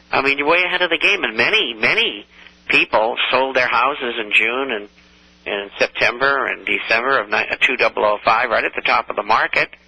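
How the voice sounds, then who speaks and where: A man with an American accent talks at a fairly quick pace with lively intonation over noticeable background noise. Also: medium pitch for a man. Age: 70s. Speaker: financial newsletter writer. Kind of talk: radio talk show.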